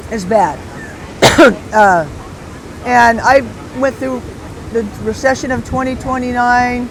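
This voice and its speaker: Against noticeable background noise, a woman with an American accent speaks at a fairly slow pace with long, frequent pauses, using a high pitch with ordinary variation. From Southern California. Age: 60s. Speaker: retired bodyboard company founder. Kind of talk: podcast interview. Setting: outdoor beach event.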